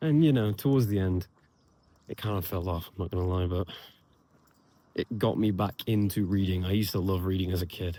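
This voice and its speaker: A man with an English accent and a very deep, low, dark and mellow voice speaks at a fairly quick pace with ordinary pitch variation and long, frequent pauses, on a very clean recording with a silent background. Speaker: vlogger. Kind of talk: casual vlog monologue. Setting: outdoors, walking.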